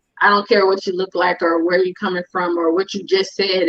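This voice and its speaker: Medium-pitched female speech with an American accent. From California. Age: 40s. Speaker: guest sharing her story with her husband. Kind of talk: interview conversation.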